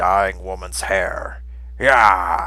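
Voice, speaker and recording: A man's put-on character voice. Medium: read story. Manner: speaks of himself in third person.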